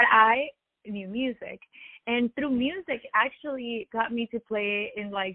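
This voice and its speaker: With a Spanish accent, a woman is talking. The pitch shows ordinary variation. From Latin America, Spanish-speaking. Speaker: musician, DJ and violinist. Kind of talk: interview.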